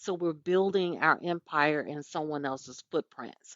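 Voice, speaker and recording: With a Southern US accent, a woman speaks at a moderate pace in a fairly low pitch and an animated tone. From US South. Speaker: podcast host and business owner. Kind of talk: podcast monologue. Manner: conversational, animated.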